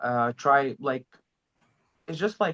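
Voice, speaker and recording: Speaking with an Arabic accent, a man with a fairly high pitch talks at a moderate pace in a dry, close sound with no echo. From Egypt. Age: 20s. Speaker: language learner, channel host. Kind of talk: interview. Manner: halting.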